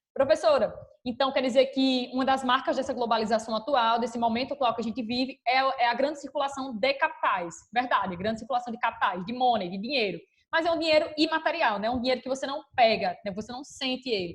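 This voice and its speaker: Speaking very fast, a woman uses a high pitch with ordinary pitch variation. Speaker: school teacher. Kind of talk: online class lecture.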